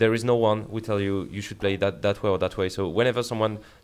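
A man with a French accent, fairly low in pitch, with fairly even intonation. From France. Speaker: esports head coach. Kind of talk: casual chat.

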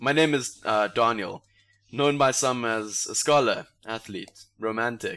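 A man with a South African accent speaks at a medium pitch and a fairly slow pace, his bright, sharp tone carrying ordinary pitch variation. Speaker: podcast host. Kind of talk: casual comedic banter.

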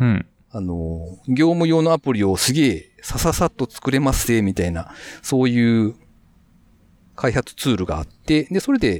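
Very wide pitch swings at a moderate pace, in a dry, close sound with no echo. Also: man. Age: 40s. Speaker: freelance web engineer. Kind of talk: casual interview. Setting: remote recording.

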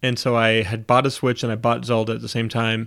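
At a moderate pace, a man talks in a normal speaking voice with medium pitch. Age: 30s. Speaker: podcast host. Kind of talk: casual chat.

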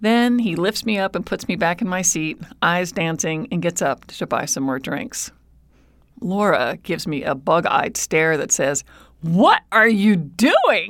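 On a very clean recording with a silent background, a woman speaks at medium pitch and a fairly slow pace. Her tone is animated and her intonation lively. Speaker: storyteller. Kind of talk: storytelling, first-person personal anecdote told to an audience. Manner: animated, expressive, comedic timing.

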